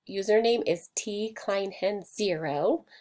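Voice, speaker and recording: A woman speaks in a plain, everyday voice, medium in pitch with ordinary pitch variation. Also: very clean recording, silent background. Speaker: elementary school teacher. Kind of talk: tutorial.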